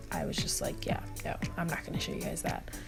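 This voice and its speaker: A woman speaks with music in the background. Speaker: beauty vlogger. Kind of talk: makeup tutorial voiceover.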